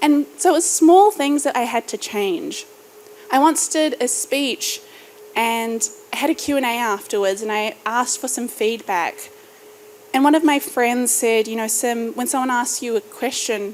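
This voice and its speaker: With a New Zealand accent, a woman speaks at a fairly slow pace. Her pitch is high and her intonation lively. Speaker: startup founder and podcaster. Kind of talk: keynote speech. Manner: rising inflection at sentence ends.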